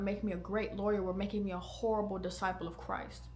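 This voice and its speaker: A woman at a very fast pace, monotone and flat, over music in the background. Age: 20s. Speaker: podcast host. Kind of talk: casual chat; testimony. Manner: casual, conversational.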